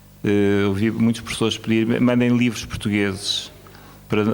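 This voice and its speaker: The voice moves at a fairly quick pace with monotone, flat intonation. Audible room echo is present. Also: man. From Mozambique. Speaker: academic speaker at education conference. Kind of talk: conference speech. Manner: hesitant, many fillers.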